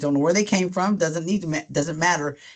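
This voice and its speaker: This is a woman speaking. The background is quiet. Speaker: university events director. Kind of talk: webinar presentation. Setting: online webinar. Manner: fast; casual, filler-heavy.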